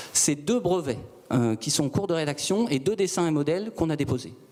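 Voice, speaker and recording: A man's lively intonation at a fairly quick pace, amid noticeable background noise. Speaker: startup founder. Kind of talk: sales pitch. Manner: calm; measured.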